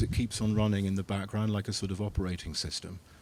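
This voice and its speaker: Speaking in an English accent, a man keeps his voice fairly low. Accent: English accent, called a souvenir. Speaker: philosopher lecturer answering audience questions. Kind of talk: Q&A after a lecture. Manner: hesitant, many fillers and repetitions; animated.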